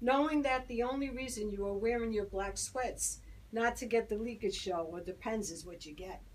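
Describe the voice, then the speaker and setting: At a moderate pace, a woman speaks with a fairly high pitch and ordinary pitch variation. Her loudness swings a lot. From Brooklyn, New York. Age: 60s. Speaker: poet. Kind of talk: poetry reading.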